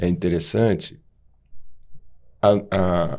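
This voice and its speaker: The voice belongs to a man. Its tone comes across dark and mellow. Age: 60s. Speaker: podcast co-host, doctor. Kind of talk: podcast conversation.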